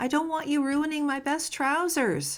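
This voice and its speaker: At a moderate pace, the woman puts on a character voice pitched high. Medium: read story.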